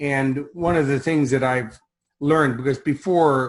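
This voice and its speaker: At a moderate pace, a man speaks with a Chicago accent. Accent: Chicago American. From Chicago, US. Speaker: success coach and speaker. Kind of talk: interview.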